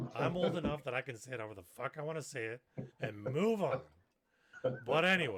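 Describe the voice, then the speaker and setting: The speech runs at a very fast pace with very wide pitch swings. Long pauses come frequently. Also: man, medium pitch for a man. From Canada. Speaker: gaming streamer and podcast co-host. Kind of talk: casual chat.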